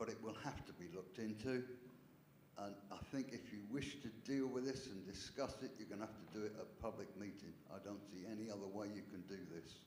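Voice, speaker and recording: Speaking at a fairly quick pace, a man with a fairly low voice comes through audible room echo and noticeable background noise. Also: ordinary pitch variation. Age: 70s. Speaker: lease trustee. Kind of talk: council meeting debate. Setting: parish council meeting.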